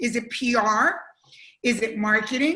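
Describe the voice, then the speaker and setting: A woman speaks loudly in a bright, sharp tone. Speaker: entrepreneur and former TV executive. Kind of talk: panel discussion.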